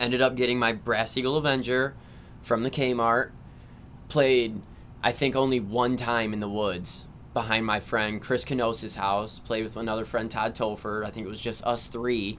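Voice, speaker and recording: Speaking at a moderate pace, a man has an unremarkable speaking voice. His pitch is medium and his intonation fairly even. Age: 30s. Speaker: amateur paintball player and construction worker. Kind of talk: casual chat.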